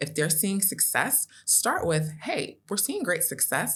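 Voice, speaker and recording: The voice has an American accent and sounds somewhat breathy. The recording is very clean, with a silent background. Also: woman. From United States, born in Nigeria. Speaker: customer success leader. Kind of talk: podcast interview.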